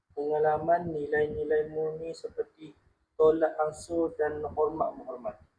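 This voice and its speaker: A man's fairly high, dark and mellow voice at a fairly slow pace, with monotone, flat intonation. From Kelantan, Malaysia. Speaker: logistics worker. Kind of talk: interview answers. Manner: halting.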